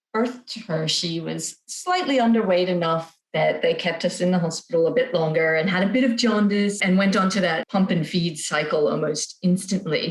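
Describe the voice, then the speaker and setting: This woman has a normal speaking voice with an American accent and a medium pitch. She keeps a moderate pace and ordinary pitch variation. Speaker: parent sharing feeding experience. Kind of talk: podcast interview.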